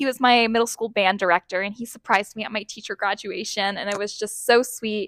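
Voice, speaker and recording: With an American accent, a woman speaks at a fairly quick pace and medium pitch, her tone bright and sharp, the sound dry and close with no echo. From Southern California. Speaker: high school English teacher. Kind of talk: interview. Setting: classroom. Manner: animated.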